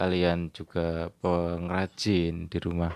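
The man's pitch is very deep and low. The sound is dry with no echo. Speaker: channel host, interviewer. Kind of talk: casual vlog outro chat. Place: home room. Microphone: handheld.

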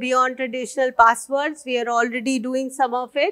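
A woman's high-pitched voice at a moderate pace. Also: quiet background. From India. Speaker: senior civil servant. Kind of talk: conference keynote speech. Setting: stage with audience. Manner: formal. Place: stage.

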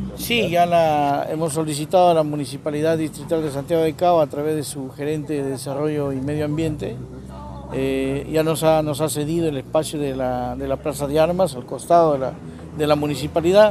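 A man's fairly brisk delivery sounds dry and echo-free, with noticeable noise behind it. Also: fairly even intonation. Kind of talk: interview answer. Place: street. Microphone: handheld.

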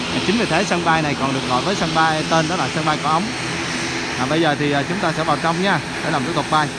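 The speech comes at a very fast pace under loud background noise, with a dry sound with no echo. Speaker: travel vlogger. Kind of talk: casual travel vlog commentary. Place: street. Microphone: phone near.

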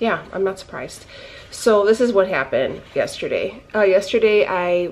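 Ordinary pitch variation in a woman's speech. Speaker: keto lifestyle vlogger. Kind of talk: casual vlog chat. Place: kitchen. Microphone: phone near.

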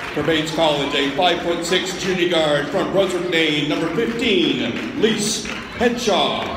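Noticeable background noise and audible room echo accompany the recording. A high-pitched man talks at a fairly slow pace with ordinary pitch variation. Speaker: public address announcer. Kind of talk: sports public address announcement, starting lineups. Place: stadium. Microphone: phone near.

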